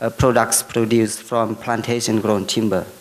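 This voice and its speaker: Over noticeable background noise, a male voice is heard at a medium pitch. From Laos. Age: young. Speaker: forestry lecturer and researcher. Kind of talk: conference presentation. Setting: forum with audience. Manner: halting.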